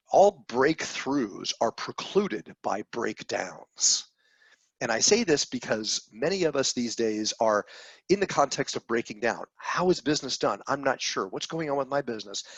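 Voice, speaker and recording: An animated man's fairly high voice, with very wide pitch swings, in a dry, close recording with no echo. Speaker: business trainer. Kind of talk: webinar presentation. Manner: fast.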